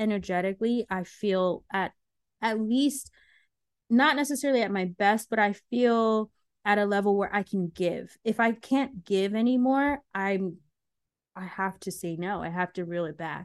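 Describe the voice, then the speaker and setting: An unremarkable speaking voice moves at a moderate pace in a dry, close sound with no echo. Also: woman, quiet background. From US, Ghanaian immigrant family. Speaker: mental health content creator. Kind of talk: interview.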